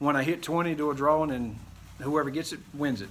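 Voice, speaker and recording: The speech runs at a fairly quick pace with fairly even intonation. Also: man. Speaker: woodworking YouTuber. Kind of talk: tutorial. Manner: fast; casual, rambling.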